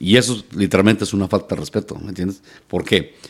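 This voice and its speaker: A man speaks at a fairly quick pace in a normal speaking voice, his pitch fairly low with ordinary variation. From Mexico, La Piedad, Michoacán. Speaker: charreada announcer and radio broadcaster. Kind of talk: casual interview chat.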